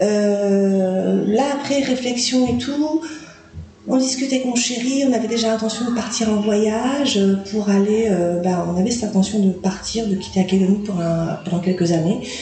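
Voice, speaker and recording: In a room with audible echo and noticeable background noise, a woman speaks at a fairly slow pace. Her pitch is fairly high with ordinary variation, and her loudness stays very even. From New Caledonia. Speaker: podcast guest. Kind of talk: interview. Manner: hesitant, lots of fillers.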